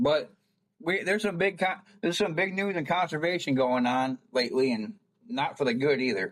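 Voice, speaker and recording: Here a man speaks in a plain, everyday voice with a fairly high pitch. His pace is fairly quick and his intonation lively. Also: very even loudness. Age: 40s. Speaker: podcast host. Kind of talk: casual interview chat.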